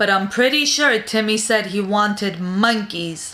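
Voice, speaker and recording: In a put-on character voice, a woman talks at a moderate pace with medium pitch. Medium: read story.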